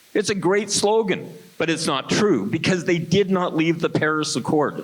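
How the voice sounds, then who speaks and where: Through noticeable background noise, a man talks at a high pitch with ordinary pitch variation and very even loudness. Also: moderate pace. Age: 70s. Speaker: political candidate. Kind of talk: debate. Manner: animated.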